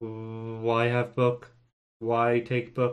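A man puts on a character voice at a medium pitch, delivered in a monotone, flat intonation. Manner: buzzing, insistent.

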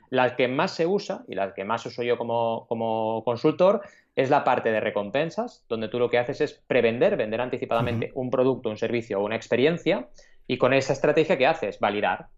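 With an ordinary speaking voice, a man talks at a fairly quick pace, his medium-pitched delivery full of lively intonation. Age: 40s. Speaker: crowdfunding consultant and entrepreneur. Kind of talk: interview.

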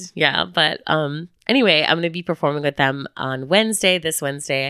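Moderately paced and animated, the voice has an American accent and a bright, sharp tone, recorded dry and close with no echo. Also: woman. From Chicago, US Midwest. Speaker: podcast co-host. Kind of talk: casual chat. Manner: animated, laughing often.

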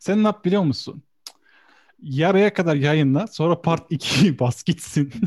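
A high-pitched man at a very slow pace, with very even loudness, ordinary pitch variation and a dry, close sound with no echo. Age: 20s. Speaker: graphic designer. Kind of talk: casual chat.

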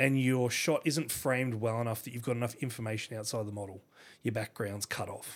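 Recorded very cleanly against a silent background, a man speaks with an Australian accent. His medium pitch, fairly even intonation and moderate pace stay consistent. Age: 30s. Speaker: photographer. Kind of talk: casual chat.

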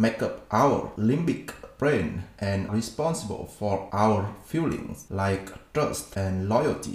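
Noticeable background noise surrounds a man speaking at a very slow pace with a Vietnamese accent. His fairly low voice has lively intonation. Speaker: podcast host. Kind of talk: book summary narration.

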